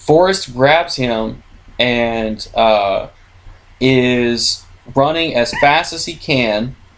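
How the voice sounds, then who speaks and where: Over noticeable background noise, a man talks at a very slow pace. His pitch is medium, with ordinary pitch variation. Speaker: podcast co-host. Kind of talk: casual movie recap from notes. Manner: halting, many fillers.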